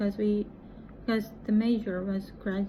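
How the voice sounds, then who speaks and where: Her voice fairly high in pitch, a woman speaks with a Japanese accent. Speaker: English teacher and vlogger. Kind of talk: casual vlog monologue. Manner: halting.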